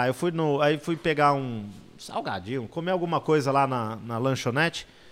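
A man's medium-pitched, plain, everyday voice at a moderate pace with ordinary pitch variation. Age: 40s. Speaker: motorsport journalist. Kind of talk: casual interview.

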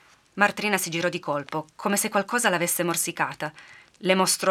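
Someone reads aloud in a natural voice. Their intonation is fairly even.

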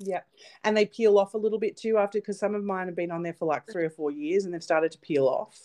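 A woman talks at a very fast pace in an Australian accent. The sound is dry and close, with no echo. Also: medium pitch for a woman, ordinary pitch variation. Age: 30s. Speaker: nail technician and podcast co-host. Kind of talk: casual chat.

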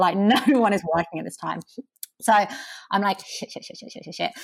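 In a southeast English accent, a woman speaks with ordinary pitch variation. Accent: south-east English. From Kent, south-east England. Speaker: communications professional. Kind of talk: interview. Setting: remote call.

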